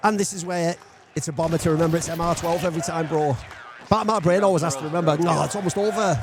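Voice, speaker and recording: A man at a very fast pace, high-pitched with ordinary pitch variation, over noticeable background noise. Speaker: esports pundit. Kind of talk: casual chat. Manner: animated.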